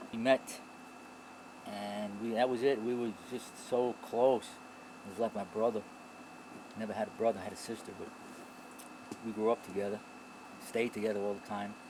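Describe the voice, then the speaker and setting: Speaking in a flat monotone at a medium pitch, a man with a New York accent leaves long, frequent pauses. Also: moderate pace. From New York, the Bronx. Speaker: author and Vietnam veteran. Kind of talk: interview. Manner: halting.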